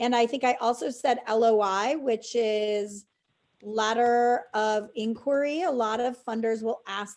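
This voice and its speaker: This woman has a fairly high pitch and an American accent. Her intonation is fairly even. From US Midwest. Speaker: fundraising trainer. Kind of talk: webinar Q&A. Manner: fast.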